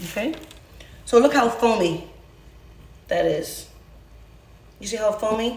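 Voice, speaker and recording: A woman speaks fairly slowly at a fairly high pitch, with ordinary pitch variation and long, frequent pauses. Her loudness swings widely, with audible room echo and noticeable background noise. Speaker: home cooking show host. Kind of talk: casual cooking tutorial. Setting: home kitchen.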